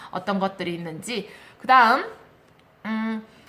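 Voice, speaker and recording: A woman talks at a fairly slow pace, with audible room echo. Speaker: elementary school teacher. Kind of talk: lecture.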